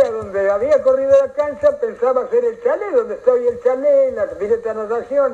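With a Rioplatense accent, a man talks at a fairly quick pace with hardly any pauses over noticeable background noise. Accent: Argentine Spanish, rioplatense. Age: 80s+. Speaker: local historian, elderly former footballer. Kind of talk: radio interview, casual reminiscing.

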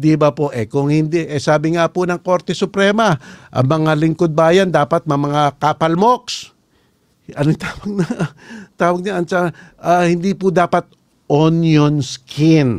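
This man speaks at a fairly slow pace and a fairly high pitch, with ordinary pitch variation and a dry, close sound with no echo. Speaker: lawyer and podcast host. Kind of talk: political commentary podcast. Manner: animated.

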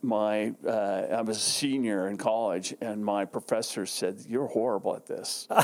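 A man with an American accent speaks at a fairly slow pace in a fairly low pitch, with hardly any pauses. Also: fairly even intonation. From Southern California (San Diego area). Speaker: branding agency owner. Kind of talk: interview.

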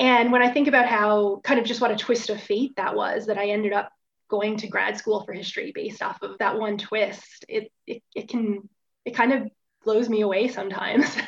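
In a Newfoundland accent, a woman talks at a moderate pace with a fairly high pitch and fairly even intonation. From Newfoundland, Bonavista. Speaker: historian. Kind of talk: interview.

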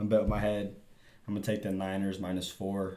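A man with an American accent speaks in a fairly low pitch and a dark, mellow tone. Audible room echo surrounds his voice. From Texas. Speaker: sports podcast co-host. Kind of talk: casual chat.

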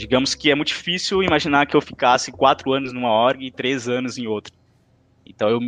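In a normal speaking voice, a man talks at a fairly quick pace with a medium pitch and ordinary pitch variation, the sound dry and close with no echo. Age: 20s. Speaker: marketing intern, former student league president. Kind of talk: podcast interview.

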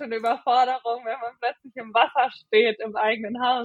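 A woman's unremarkable speaking voice, fairly high in pitch, with fairly even intonation. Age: 20s. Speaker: middle-distance runner. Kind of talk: casual interview.

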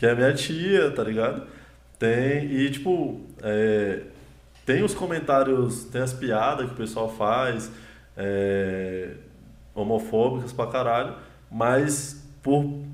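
Speaking at a medium pitch with ordinary pitch variation, a man goes at a very slow pace with long, frequent pauses. Audible room echo surrounds the voice. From Brazil, Ceilândia (Federal District). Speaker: comedian. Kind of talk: casual chat. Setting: livestream.

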